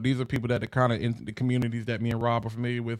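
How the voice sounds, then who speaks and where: An American accent in a very clean recording with a silent background. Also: man. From US South, eastern North Carolina. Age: 30s. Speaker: content creator and brand strategist. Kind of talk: podcast interview.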